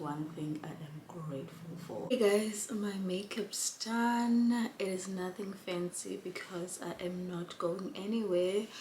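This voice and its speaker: A woman's voice, with ordinary pitch variation, carries audible room echo and noticeable background noise. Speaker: vlogger and care worker. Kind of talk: casual vlog chat.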